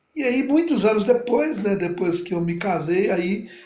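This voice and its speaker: At a fairly slow pace, a man speaks amid audible room echo. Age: 50s. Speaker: pastor and gospel singer. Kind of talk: interview testimony. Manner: halting, many fillers.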